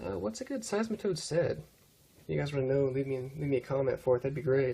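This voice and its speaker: Speaking very fast, a man has a fairly high pitch, a dark, mellow tone and a somewhat breathy sound. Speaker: gaming commentator. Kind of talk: gameplay commentary. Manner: casual, hesitant with fillers.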